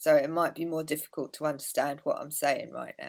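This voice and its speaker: Using a put-on character voice in a London accent, the speaker sounds raspy at a middle pitch and a fairly quick pace. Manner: dropped T's, vowels strung together.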